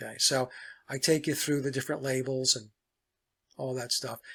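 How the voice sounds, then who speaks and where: The speech moves at a moderate pace on a very clean recording with a silent background. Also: man. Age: 60s. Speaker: musician and guitar collector. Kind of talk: casual show-and-tell talk. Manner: digressive, with many fillers.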